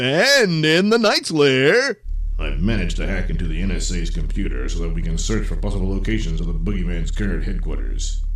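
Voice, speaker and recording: Over light background noise, a man puts on a character voice at a fairly quick pace. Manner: bossy, irritable, shouting.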